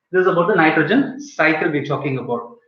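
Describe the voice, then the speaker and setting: A high-pitched man at a fairly quick pace, with audible room echo. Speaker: biology teacher. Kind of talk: online class lecture. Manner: fast.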